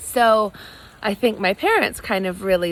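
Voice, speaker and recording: A woman with an American accent speaks at a fairly slow pace and a medium pitch. It is a normal speaking voice. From United States (Santa Fe, New Mexico). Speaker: cocktail blogger and entrepreneur. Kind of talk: talk to students about career. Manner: casual with frequent fillers.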